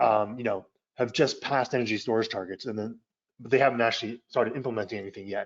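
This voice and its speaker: His voice sits at a medium pitch, and a man's intonation stays fairly even throughout. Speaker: energy policy expert presenter. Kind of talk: webinar presentation. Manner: fast; halting, many fillers and repeats.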